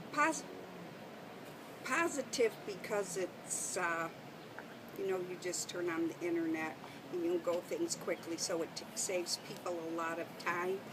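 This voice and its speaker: A woman's fairly low voice with an Upper Midwest accent, at a fairly slow pace, with ordinary pitch variation and long, frequent pauses. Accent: Upper Midwest American. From Detroit, Michigan, US. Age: 60s. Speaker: interviewee. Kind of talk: interview. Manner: halting.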